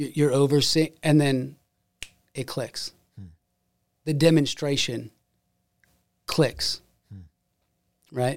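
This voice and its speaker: Very slow and broken by long, frequent pauses, a man's fairly high voice stays monotone with flat intonation. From Ohio, US. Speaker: guest preacher.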